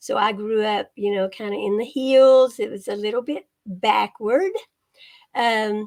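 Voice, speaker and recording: A woman with a Kentucky accent, fairly high in pitch, with fairly even intonation at a fairly slow pace. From Eastern Kentucky, Appalachia. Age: 70s. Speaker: retired copy editor and author. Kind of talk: interview. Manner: casual, hesitant fillers.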